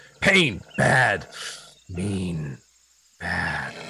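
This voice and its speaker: Growling in a very deep, low pitch, a man performs a put-on character voice. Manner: growling, snapping.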